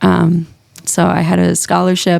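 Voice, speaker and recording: Recorded dry and close with no echo, a woman talks with a slight Minnesota accent. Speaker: music teacher. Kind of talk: casual interview.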